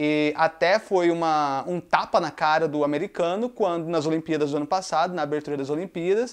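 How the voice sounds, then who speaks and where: A man with a Brazilian accent speaks at a moderate pace. His pitch is fairly high, with ordinary variation. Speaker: YouTuber. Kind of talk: casual monologue. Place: home room.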